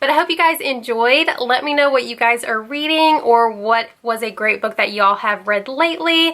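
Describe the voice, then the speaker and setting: Animated in tone, a woman speaks at a moderate pace and high pitch with ordinary pitch variation and hardly any pauses, against noticeable background noise. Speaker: book youtuber. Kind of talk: casual vlog monologue.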